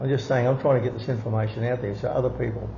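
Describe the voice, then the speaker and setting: The voice has fairly even intonation, heard through noticeable background noise and audible room echo. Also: man. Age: 70s. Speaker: occult teacher. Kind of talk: interview. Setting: at home.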